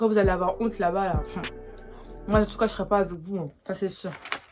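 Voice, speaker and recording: A woman at a fairly quick pace, music in the background. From Congolese and Angolan background. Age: 20s. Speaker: YouTuber. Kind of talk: casual talk to camera.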